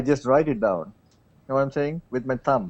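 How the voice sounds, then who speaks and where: With a South Indian accent, a man talks at a moderate pace, his fairly high pitch showing ordinary variation. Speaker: tech show panelist. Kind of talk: casual panel discussion.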